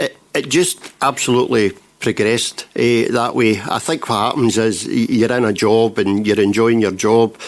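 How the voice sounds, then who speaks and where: A man speaks with a west of Scotland accent at a medium pitch. His intonation is fairly even and his loudness very even. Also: moderate pace. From Scotland, Renfrewshire (Elderslie). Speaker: council chief executive. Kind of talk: interview.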